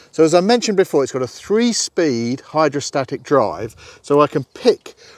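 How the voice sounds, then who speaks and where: The sound is dry with no echo, over a quiet background. Pitch swings very widely at a moderate pace. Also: man. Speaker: company representative demonstrating a tractor. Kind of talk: tutorial. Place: open country.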